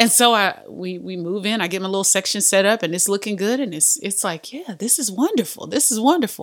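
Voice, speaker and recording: Hardly pausing, a woman speaks in an animated tone with vocal fry and ordinary pitch variation. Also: medium pitch for a woman, fairly quick pace. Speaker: podcast host. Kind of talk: devotional teaching monologue; casual chat.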